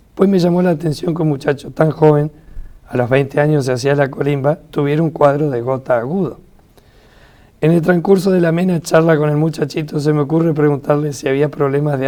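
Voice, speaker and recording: Using a normal speaking voice, this man has a fairly high pitch. He moves at a fairly quick pace, and his intonation stays fairly even. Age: 60s. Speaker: retired biochemist and author. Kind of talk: reading aloud; interview.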